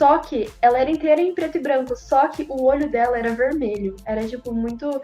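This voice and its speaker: Fairly quick speech with ordinary pitch variation over music in the background. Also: woman, high pitch for a woman. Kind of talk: personal horror story told in podcast.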